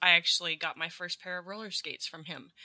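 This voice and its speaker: A woman talks in a fairly low pitch with ordinary pitch variation and a bright, sharp tone. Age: 40s. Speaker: school teacher and founder of a non-profit sports camp. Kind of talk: casual interview.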